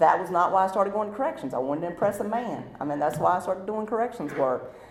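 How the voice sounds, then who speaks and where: A loud woman with a North Carolina accent talks at a very fast pace in a medium pitch, her voice swinging very widely up and down over noticeable background noise. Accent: Southern US (North Carolina). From eastern North Carolina, Rocky Mount area. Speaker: recovering alcoholic speaker. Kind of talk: testimony.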